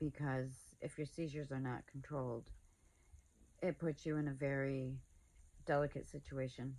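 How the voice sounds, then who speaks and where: A woman with a very deep, low voice talks at a moderate pace in a monotone, flat way. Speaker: epilepsy awareness vlogger. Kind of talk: personal vlog talk to camera. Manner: hesitant, with fillers.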